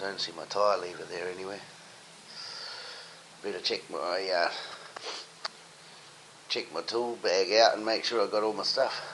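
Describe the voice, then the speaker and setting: A man talks at a moderate pace, pausing long and often, over noticeable background noise. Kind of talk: casual talk to camera.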